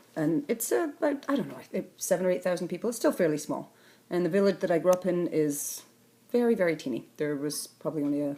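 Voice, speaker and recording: A woman with a dark, mellow tone talks at a very fast pace, her pitch swinging very widely. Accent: Scottish Highland. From northern Scotland, Sutherland. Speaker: artist. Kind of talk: interview. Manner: halting.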